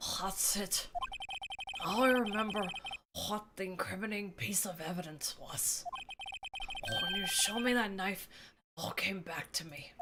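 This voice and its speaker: Using a put-on character voice, a female-sounding speaker talks breathy at a middle pitch and moderate pace with long, frequent pauses. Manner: acted, exaggerated.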